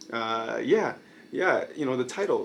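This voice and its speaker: At a very slow pace, a man speaks with an American accent. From Brooklyn, New York, US. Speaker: YouTuber, video essayist. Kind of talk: casual monologue video. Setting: night filming. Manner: hesitant, many fillers.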